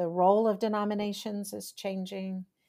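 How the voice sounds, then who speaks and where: A woman with a Texan accent speaks at medium pitch and a moderate pace on a very clean recording with a silent background. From Texas. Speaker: pastoral counselor and leadership coach. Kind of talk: casual interview.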